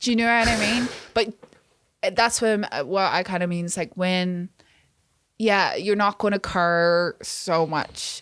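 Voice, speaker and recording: Speaking at a fairly slow pace with long, frequent pauses, a woman sounds animated, with ordinary pitch variation on a very clean recording with a silent background. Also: medium pitch for a woman. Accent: Northern Irish. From Northern Ireland. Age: 20s. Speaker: music video director. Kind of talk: casual chat.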